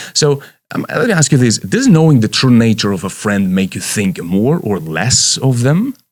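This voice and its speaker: The speaker has a non-native accent, a moderate pace and very wide pitch swings. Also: man. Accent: foreign. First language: Romanian or Russian. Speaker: leadership coach. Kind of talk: motivational talk. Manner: halting.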